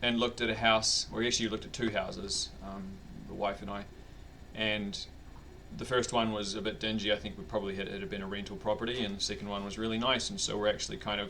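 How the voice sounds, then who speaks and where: Over audible room echo, a man with a New Zealand accent and fairly low pitch talks at a very fast pace yet with long, frequent pauses. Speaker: vlogger. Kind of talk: personal video diary. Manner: hesitant, many fillers.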